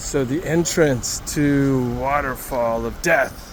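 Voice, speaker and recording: Noticeable noise sits under this man's voice. Room echo is also audible. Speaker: travel vlogger. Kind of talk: casual vlog narration.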